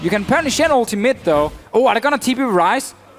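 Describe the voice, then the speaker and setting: With music playing behind him, a man in a Danish accent talks at a fairly quick pace, his pitch swinging very widely. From Denmark. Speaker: esports commentator. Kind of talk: live commentary.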